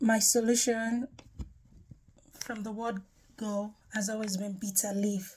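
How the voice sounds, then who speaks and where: A woman with a Nigerian accent speaks at a very slow pace in a fairly high pitch. Her voice is somewhat breathy and her intonation monotone and flat. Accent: Nigerian (Yoruba) English. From Nigeria (Yoruba). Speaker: health testimony vlogger. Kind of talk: personal testimony. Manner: hesitant with frequent fillers.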